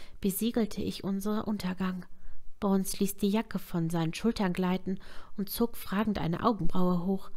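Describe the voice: Someone is doing plain reading aloud.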